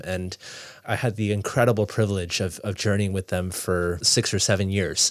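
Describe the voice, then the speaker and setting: Man with an Ontario accent, moderate pace and fairly even intonation. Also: very clean recording, silent background. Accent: Canadian (Ontario). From Toronto, Canada. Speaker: youth pastor. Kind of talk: interview. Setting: studio. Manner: halting, many fillers and repeats.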